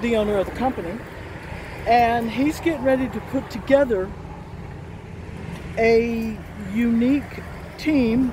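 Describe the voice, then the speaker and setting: The woman speaks at a fairly slow pace with ordinary pitch variation. Noticeable background noise can be heard, and the sound is dry with no echo. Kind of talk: casual vlog chat. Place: street. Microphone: phone near.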